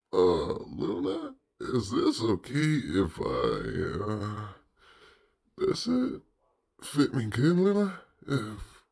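A man puts on a cartoonish character voice at a medium pitch. He speaks very slowly, with long, frequent pauses. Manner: casual, upbeat.

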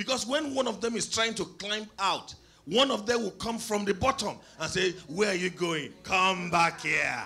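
Using a raised, projected voice, a man talks at a moderate pace with lively intonation. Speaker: preacher. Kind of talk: sermon. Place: church. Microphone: handheld.

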